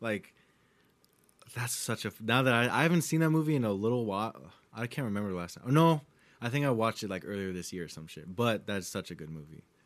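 On a very clean recording with a silent background, a man talks at a very fast pace and medium pitch, with very wide pitch swings and big swings in loudness. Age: 20s. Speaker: podcast host. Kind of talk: casual chat. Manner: animated.

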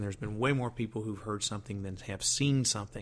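A medium-pitched man with a Southern US accent. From US South. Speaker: radio host. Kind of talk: casual radio monologue. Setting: studio.

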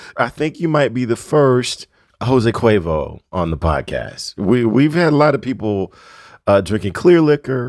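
A man with an ordinary speaking voice and lively intonation at a fairly slow pace, in a very clean recording with a silent background. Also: medium pitch for a man. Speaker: podcast host. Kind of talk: casual interview chat.

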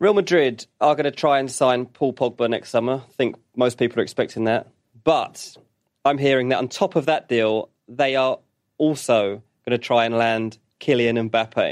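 Over a quiet background, a man with a British accent talks at a moderate pace, his medium pitch showing ordinary variation. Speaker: football journalist. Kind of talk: casual chat.

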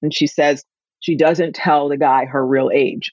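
Speaking at a fairly slow pace, a woman with a very deep, low pitch keeps her intonation fairly even. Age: 60s. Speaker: wellness coach. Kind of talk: casual interview chat.

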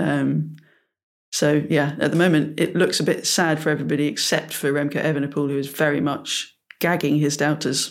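A very clean recording, silent background and a moderate pace. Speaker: cycling podcast co-host. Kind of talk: casual chat.

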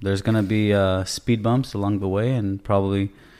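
Over a silent background in a very clean recording, a man uses a normal speaking voice, fairly low in pitch, with fairly even intonation. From Canada. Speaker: real estate agent. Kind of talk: casual interview chat. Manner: casual.

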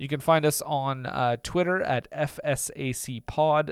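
A man talks with a Canadian accent. His pitch variation is ordinary. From Atlantic Canada. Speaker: podcast co-host. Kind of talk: casual chat.

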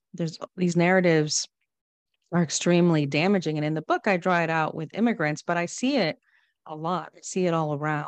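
Her pitch fairly low and varying in an ordinary way, a woman talks in an ordinary speaking voice. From Guatemala, moved to the US as a child. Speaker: author and immigrant advocate. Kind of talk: interview conversation. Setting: video call.

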